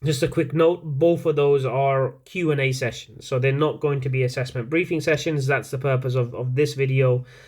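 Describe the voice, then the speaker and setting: Over a very clean recording with a silent background, a man with a non-native accent speaks at a moderate pace, with fairly even intonation and hardly any pauses. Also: fairly high pitch for a man. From outside the UK. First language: not English. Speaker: university lecturer. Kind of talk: lecture. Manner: hesitant, many fillers.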